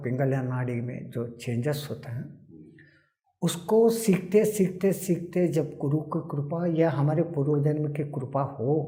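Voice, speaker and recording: Somewhat breathy and dark, mellow in tone, a man speaks at a fairly high pitch with ordinary pitch variation. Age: 80s+. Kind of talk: interview answer.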